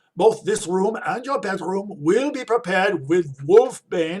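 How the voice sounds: A man puts on a character voice, high-pitched, with lively intonation and a slightly husky edge. His tone is slightly mellow and his pace slow.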